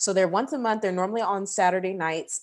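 In an American accent, a woman with an unremarkable speaking voice talks at medium pitch with ordinary pitch variation. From Texas, Houston. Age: 20s. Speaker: nurse and podcast host. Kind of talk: interview.

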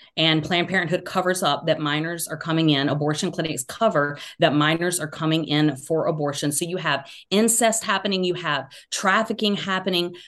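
At a fairly quick pace, a woman talks in a fairly low voice with ordinary pitch variation. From US South, Georgia. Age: 40s. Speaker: author and social media commentator. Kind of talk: casual interview.

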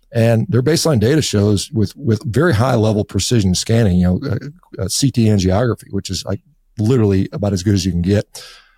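Speaking at a fairly quick pace, a man has a fairly low pitch, a dark, mellow tone and lively intonation. His voice is somewhat breathy, and the sound is dry and close with no echo. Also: very clean recording, silent background. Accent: American. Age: 50s. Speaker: physician and diet author. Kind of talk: interview. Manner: halting.

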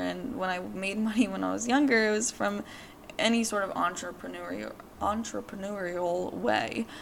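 A woman's moderate-paced speech is heard with noticeable background noise behind it. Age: 20s. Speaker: podcast host. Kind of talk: personal monologue. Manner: casual, filler-heavy.

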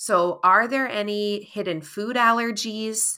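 A woman speaks with an American accent and a bright, sharp tone. Her pitch moves in an ordinary way. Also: very clean recording, silent background. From Massachusetts, Cape Cod. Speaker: nutrition therapist. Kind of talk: interview.

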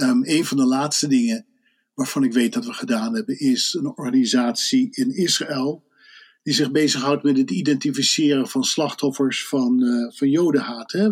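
This man has a plain, everyday voice, fairly high in pitch, with lively intonation and a moderate pace. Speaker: Dutch expat panelist and volunteer. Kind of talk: casual chat.

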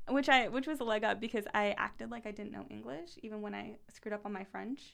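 A woman talks at a very fast pace in a medium-pitched voice. Vocal fry runs through her speech. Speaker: guest sharing her story.

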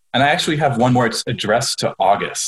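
A man is speaking. His voice is somewhat breathy. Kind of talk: casual comedic banter. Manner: joking, sarcastic.

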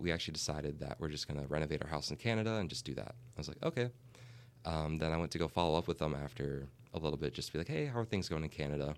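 Speaking very fast with an American accent, this man has a very deep, low pitch, vocal fry, and ordinary pitch variation. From Minnesota. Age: 20s. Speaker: real estate agent. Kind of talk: casual interview.

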